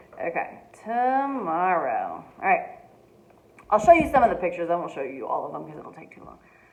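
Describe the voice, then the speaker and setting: Noticeable background noise and audible room echo surround a woman who talks at a fairly quick pace in a fairly high pitch, with very wide pitch swings and big swings in loudness. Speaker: teacher reading aloud to families. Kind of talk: casual chat. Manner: fast.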